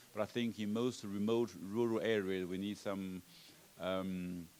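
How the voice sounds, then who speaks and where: A man speaks with a Chinese accent. His pitch is fairly low, and his intonation stays fairly even. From China. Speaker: panelist on health workforce policy. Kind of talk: conference panel discussion. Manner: halting, many fillers and repetitions.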